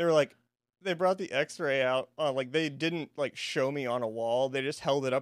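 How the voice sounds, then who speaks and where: Heard in a dry, close sound with no echo, a man has an unremarkable speaking voice with a fairly high pitch, ordinary pitch variation and a moderate pace. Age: 20s. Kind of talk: casual chat. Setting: studio.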